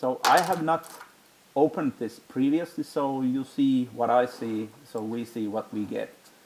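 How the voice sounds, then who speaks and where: Speaking with a Finnish accent, a man shows ordinary pitch variation. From Finland. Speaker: tech hobbyist youtuber. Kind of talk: hands-on tutorial. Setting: home basement room. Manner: halting, with many fillers.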